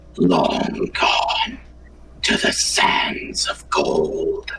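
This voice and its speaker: Doing a put-on character voice, a man speaks at an extremely high pitch with a raspy edge. There is slight echo and clear background noise. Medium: actual play. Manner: cryptic, archaic, condescending.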